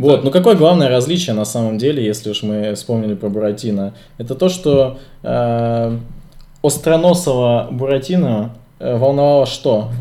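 The man's tone is dark and mellow. He speaks at medium pitch and a moderate pace. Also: ordinary pitch variation. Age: 20s. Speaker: podcast co-host. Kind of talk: casual chat.

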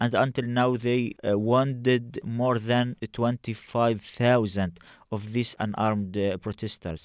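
Speaking very slowly with an Arabic accent, the voice keeps a fairly even intonation. The recording is very clean, with a silent background and a dry, close sound with no echo. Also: man. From Gaza, Palestine. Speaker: journalist and activist organizer. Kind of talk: interview. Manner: halting.

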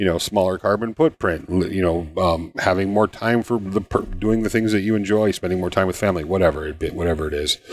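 Over noticeable background noise, a man with a very deep, low voice talks at a very fast pace with hardly any pauses. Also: ordinary pitch variation. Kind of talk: casual chat. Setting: live stream.

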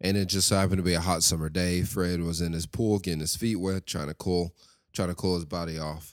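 Very deep and low, a man's monotone voice moves at a fairly quick pace in a Southern US accent, on a very clean recording with a silent background. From West Tennessee, US South. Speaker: podcast host. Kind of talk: monologue podcast episode with prayer.

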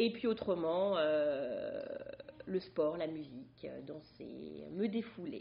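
A woman talks at a very slow pace. Noticeable background noise runs underneath. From France, Brittany. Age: 30s. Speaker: stay-at-home mother, former nurse. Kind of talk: casual chat. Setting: studio.

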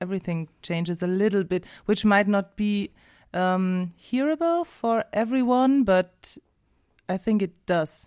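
A woman speaks at a fairly slow pace in a German accent, her pitch medium. The sound is dry and close with no echo, on a very clean recording with a silent background. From southern Germany. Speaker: singer and music teacher. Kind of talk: casual interview. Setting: radio studio.

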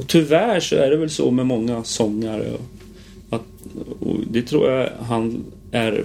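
Noticeable background noise under a very slow delivery with ordinary pitch variation. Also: man, medium pitch for a man. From Gotland, Visby. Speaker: musical theatre performer. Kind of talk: casual interview chat.

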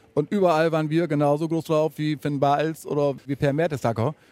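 The pace is moderate, and music plays in the background. The sound is dry and close, without echo. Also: man. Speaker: football fan. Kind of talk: interview. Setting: empty football stadium.

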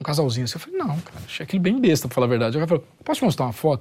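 A man with a fairly high voice sounds somewhat breathy as his pitch swings very widely. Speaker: writer and musician. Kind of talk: casual chat.

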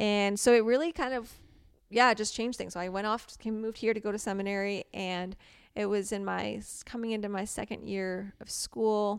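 With an American accent, a woman with an ordinary speaking voice talks at a fairly quick pace and medium pitch, with fairly even intonation. Her loudness swings widely in a very clean recording with a silent background. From Morocco and US (missionary upbringing). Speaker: artist. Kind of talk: interview. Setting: studio.

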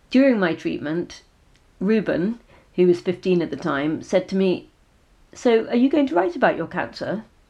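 A woman with an English accent and a dark, mellow tone speaks with lively intonation and long, frequent pauses against a quiet background. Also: medium pitch for a woman, moderate pace. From England. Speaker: author and PhD researcher. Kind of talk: talk about own memoir.

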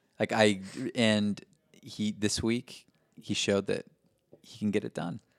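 In a dry, close sound with no echo, a man speaks at a fairly low pitch and moderate pace with monotone, flat intonation. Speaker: soccer fan podcast co-host. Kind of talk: casual chat. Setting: home recording.

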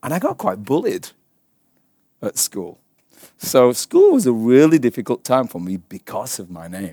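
A man with an English accent speaks at a moderate pace and medium pitch, his dark, mellow tone carrying lively intonation and big swings in loudness. He pauses long and often, in a very clean, dry, close recording with a silent background and no echo. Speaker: Bible teacher. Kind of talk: sermon.

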